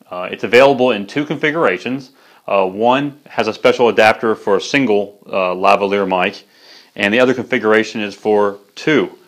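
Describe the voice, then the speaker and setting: A man with ordinary pitch variation speaks at a fairly quick pace, and the background stays quiet. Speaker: product reviewer. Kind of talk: product review presentation. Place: studio. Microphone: lapel.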